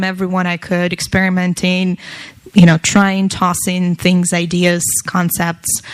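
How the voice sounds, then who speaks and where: This woman has a Russian accent and a medium pitch. She speaks at a fairly slow pace. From Russia, Moscow. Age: 20s. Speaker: tech entrepreneur and speaker. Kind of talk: talk to an audience.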